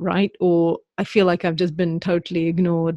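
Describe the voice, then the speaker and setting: A woman speaks at a moderate pace in a medium pitch. The sound is dry and close with no echo, over a quiet background. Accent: British. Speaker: podcast host. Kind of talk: podcast interview with scripted intro and ad read.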